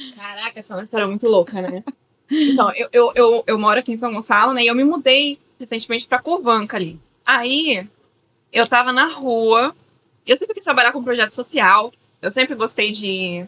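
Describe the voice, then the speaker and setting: A woman's high, bright, sharp voice comes through with a dry, close sound and no echo. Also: ordinary pitch variation, moderate pace, big swings in loudness. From São Paulo, Brazil. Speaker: teacher and project coordinator. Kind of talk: interview.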